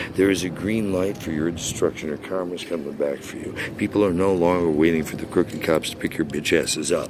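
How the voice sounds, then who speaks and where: Noticeable background noise sits behind a man's very deep, low voice. He talks with fairly even intonation and hardly any pauses. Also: fairly quick pace, dry sound with no echo. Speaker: voice actor. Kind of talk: angry rant to camera. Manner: angry, aggressive. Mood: angry, confrontational. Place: street. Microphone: phone near.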